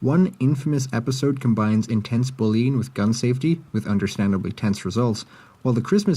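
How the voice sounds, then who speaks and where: Talking at a very fast pace, a man uses a medium pitch in a dark, mellow, somewhat breathy tone. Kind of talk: video essay commentary. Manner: sleepy, mumbling.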